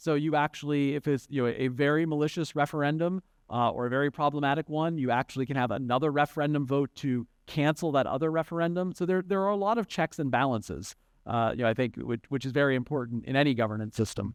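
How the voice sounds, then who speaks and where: At a very fast pace, a man with an American accent speaks at a fairly high pitch with ordinary pitch variation and very even loudness, in a dry, close sound with no echo. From United States. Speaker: conference panelist. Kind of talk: panel discussion. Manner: halting, many fillers and restarts.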